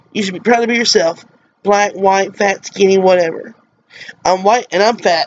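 Over light background noise, a woman with an American accent speaks at medium pitch with ordinary pitch variation. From US South, Mississippi. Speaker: vlogger. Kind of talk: personal vlog monologue. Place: home room. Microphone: webcam.

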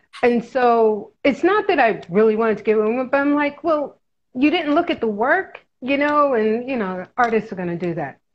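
With a New York accent, a woman speaks at a high pitch using very wide pitch swings. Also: moderate pace. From New York City (Harlem). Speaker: artist; interviewee. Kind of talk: casual interview. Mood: easy-going, animated. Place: home room. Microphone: webcam.

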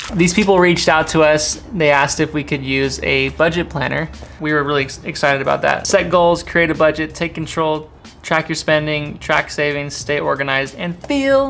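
Faint music plays behind a man who keeps a moderate pace. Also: fairly even intonation. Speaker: family vlogger. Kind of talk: casual vlog chat. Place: home room. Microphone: camera far.

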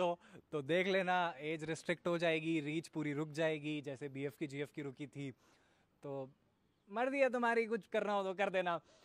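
The sound is dry, with no echo. A man speaks at a fairly slow pace with lively intonation. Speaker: youtuber. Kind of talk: casual vlog chat. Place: garden. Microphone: handheld.

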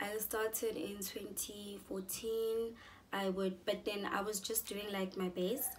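A woman speaks at a very slow pace. Light background noise is present. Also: medium pitch for a woman. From South Africa, Pretoria. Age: 20s. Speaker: beauty YouTuber. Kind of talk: vlog introduction. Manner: animated. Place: home room. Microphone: phone near.

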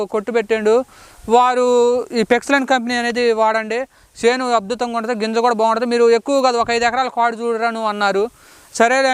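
Dry and close with no echo, a man's voice rises to an extremely high pitch. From Khammam district, Telangana. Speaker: farmer. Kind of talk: product testimonial.

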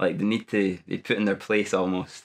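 A man with a Scottish accent and fairly low pitch, fairly quick pace, quiet background. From Dumfries, Scotland. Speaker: primary school teacher. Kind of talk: interview answer. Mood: amused, determined. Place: gym. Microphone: lapel.

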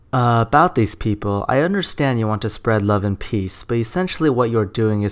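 A man speaks at a fairly quick pace in an ordinary speaking voice. His pitch is medium, with ordinary variation. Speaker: YouTube commentator. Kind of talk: commentary video, casual talk to camera. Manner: sarcastic, critical.

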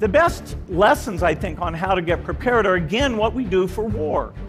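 Clear background music behind a male speaker's moderately paced delivery. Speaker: conference speaker. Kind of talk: prepared talk. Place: stage. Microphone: headset.

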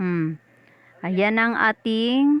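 A woman's voice, dry and close with no echo. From Visayas, Philippines. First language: Cebuano (Bisaya) (speaking Tagalog). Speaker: cooking vlogger. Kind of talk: cooking tutorial. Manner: animated.

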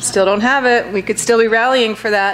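The woman's intonation stays fairly even throughout. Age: 50s. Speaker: associate professor, book reviewer. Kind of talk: book review talk to audience. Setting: library auditorium with live audience. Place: hall. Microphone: podium.

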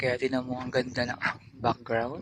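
A man is speaking. The sound is dry with no echo, over light background noise. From Philippines. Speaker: vlogger. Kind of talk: casual vlog chat. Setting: outdoors, mountain trip. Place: open country. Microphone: phone near.

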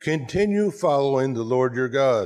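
Here a man speaks at a fairly slow pace. The background is quiet. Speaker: pastor preaching. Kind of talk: sermon. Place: church.

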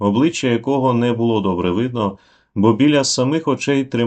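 This unforced reading voice shows ordinary pitch variation.

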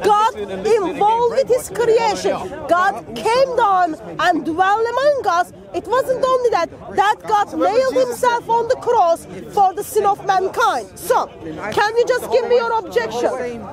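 Crowd noise fills the background. The delivery is fairly slow, and the sound is dry with no echo. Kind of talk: street debate argument. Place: open country.

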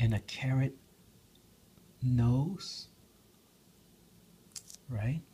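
Soft-spoken and somewhat breathy, a man talks in a dark, mellow tone. Light background noise can be heard. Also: ordinary pitch variation. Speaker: hobby video maker. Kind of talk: casual ASMR tutorial talk to camera. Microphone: phone near.

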